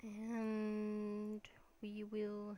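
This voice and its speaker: Mumbling at a medium pitch, a woman speaks over noticeable background noise. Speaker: gaming YouTuber. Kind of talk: let's play commentary. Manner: hesitant, many fillers.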